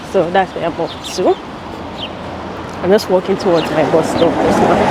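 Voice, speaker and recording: Over noticeable background noise, a woman with a fairly low voice talks at a moderate pace with fairly even intonation. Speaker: lifestyle vlogger. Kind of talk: casual vlog talk. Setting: outdoors and on a bus.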